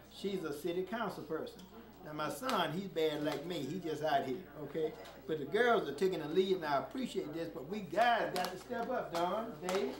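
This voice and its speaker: With noticeable background noise and audible room echo, a man talks at a moderate pace in a high pitch. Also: ordinary pitch variation. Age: 70s. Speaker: preacher and community activist. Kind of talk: public speech at community meeting. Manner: frequent filler 'okay' and hesitations.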